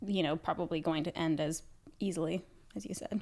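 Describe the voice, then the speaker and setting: On a very clean recording with a silent background, a woman talks at a fairly quick pace with a fairly low pitch in an unremarkable speaking voice. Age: 20s. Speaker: podcast host, beauty influencer. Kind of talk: casual chat. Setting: studio, on camera.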